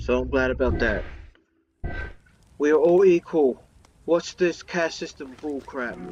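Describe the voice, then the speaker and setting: With music in the background, a man talks at a fairly slow pace, leaving long, frequent pauses. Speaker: gaming commentator. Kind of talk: casual let's-play commentary. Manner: hesitant, with fillers.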